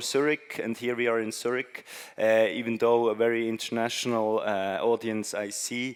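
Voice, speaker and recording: This is a man at medium pitch. He talks at a moderate pace. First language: not English. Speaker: conference speaker. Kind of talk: presentation talk. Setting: stage with audience. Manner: halting, many fillers.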